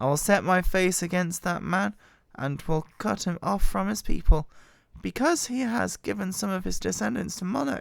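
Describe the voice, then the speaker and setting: Recorded very cleanly against a silent background, a woman with a fairly low pitch and vocal fry makes very wide pitch swings. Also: moderate pace. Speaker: Bible reader. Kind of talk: scripture reading.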